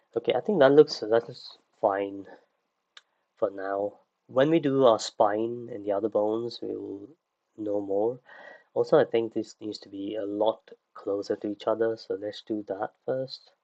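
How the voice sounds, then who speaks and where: Soft-spoken, a man talks at a fairly slow pace with long, frequent pauses, fairly even intonation, and a dark, mellow tone. His loudness swings widely, and the sound is dry and close, with no echo. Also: medium pitch for a man. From UK. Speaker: 3D creature artist and online instructor. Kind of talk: livestream tutorial. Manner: hesitant, many fillers.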